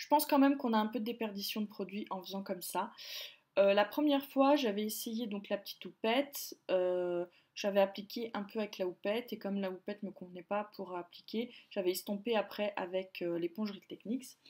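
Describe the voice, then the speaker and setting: A woman speaks at a fairly quick pace in a medium pitch, with ordinary pitch variation and big swings in loudness, on a very clean recording with a silent background. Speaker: beauty vlogger. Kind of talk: casual product review vlog. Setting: filming at home by a window. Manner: hesitant, many fillers.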